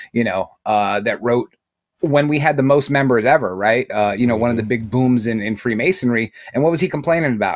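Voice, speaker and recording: In a very clean recording with a silent background, the speaker uses an American accent, a fairly quick pace and ordinary pitch variation. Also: man, medium pitch for a man. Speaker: Freemason panelist. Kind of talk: casual roundtable discussion. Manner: loud, jokey.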